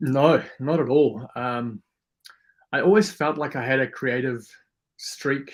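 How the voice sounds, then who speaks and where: A man with a South African accent and a fairly high pitch takes long, frequent pauses, with ordinary pitch variation. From South Africa, Afrikaans farming community; teens in New Zealand. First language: Afrikaans. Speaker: YouTuber and photographer, former gym owner. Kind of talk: podcast interview. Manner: fast.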